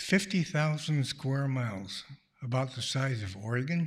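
A man with a medium-pitched, somewhat breathy voice talks with lively intonation. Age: 80s+. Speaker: retired pediatrician, storyteller. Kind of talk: live storytelling. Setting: stage with audience in a church.

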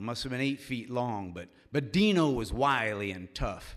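A man with an unremarkable speaking voice, medium pitch, lively intonation and a moderate pace, on a very clean recording with a silent background. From Cincinnati, Ohio. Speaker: storyteller. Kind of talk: live storytelling. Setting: stage with audience in a church.

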